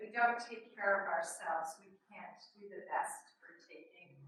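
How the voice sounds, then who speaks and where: A woman talks at a moderate pace with audible room echo in the recording. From New York City. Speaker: extension educator. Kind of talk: webinar presentation. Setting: webinar with small room audience. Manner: conversational, hesitant fillers.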